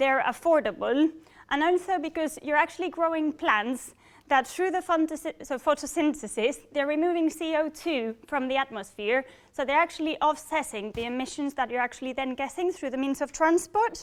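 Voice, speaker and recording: A woman with a Spanish accent speaks at a high pitch and a moderate pace, her pitch varying in an ordinary way, in a very clean recording with a silent background. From Spain. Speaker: engineering program manager. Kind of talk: public talk. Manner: halting.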